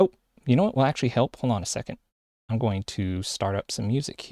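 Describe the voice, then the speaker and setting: Very fast and with lively intonation, the voice has a dark, mellow tone and an American accent, recorded dry and close with no echo. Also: man, medium pitch for a man. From United States. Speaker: vtuber streamer. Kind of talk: live stream chat. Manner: halting.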